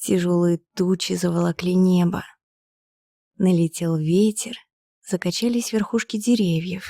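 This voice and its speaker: Quiet and calm, the voice has a dark, mellow tone and very even loudness, with ordinary pitch variation, a very slow pace, long, frequent pauses, and a dry, close sound with no echo. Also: woman. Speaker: professional narrator. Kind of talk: bedtime story reading. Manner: calm, quiet.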